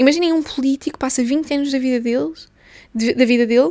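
A high-pitched woman with a European Portuguese accent, a dark, mellow tone and ordinary pitch variation. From Portugal, small town. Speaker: podcaster. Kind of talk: solo casual monologue. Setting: recording on lunch break. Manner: halting, with many fillers.

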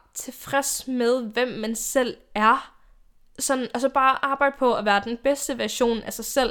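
In a very clean recording with a silent background, a woman talks at a fairly slow pace with a high pitch and ordinary pitch variation. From Denmark, Odense (Funen). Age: 20s. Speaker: YouTuber and podcast host. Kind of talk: casual solo monologue. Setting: home bedroom. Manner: chatty, talkative with laughs.

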